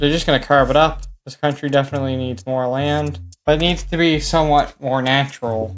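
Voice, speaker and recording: A man's ordinary speaking voice at a fairly quick pace, fairly high in pitch, with ordinary pitch variation. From Canada. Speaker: mapping video creator. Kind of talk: casual map commentary. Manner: casual, conversational.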